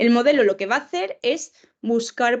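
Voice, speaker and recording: A woman speaks at a fairly slow pace with a high pitch. The background is quiet. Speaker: professor, lecturer. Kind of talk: lecture.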